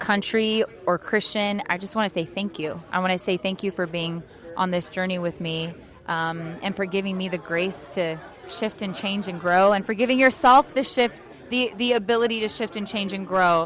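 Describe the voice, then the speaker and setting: Noticeable background noise sits behind a woman's voice. She has a medium pitch, ordinary pitch variation and a moderate pace. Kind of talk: casual interview. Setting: event interview. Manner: stutters, many restarts and fillers; animated.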